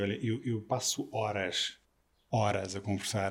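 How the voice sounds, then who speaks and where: Recorded very cleanly against a silent background, a man talks in a fairly low, somewhat breathy voice. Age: 40s. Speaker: drummer. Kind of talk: interview.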